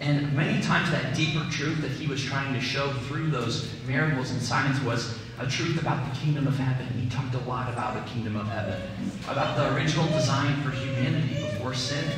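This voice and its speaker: Fairly even intonation from a man at a fairly quick pace, with strong room echo and noticeable background noise. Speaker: preacher. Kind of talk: sermon. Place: church.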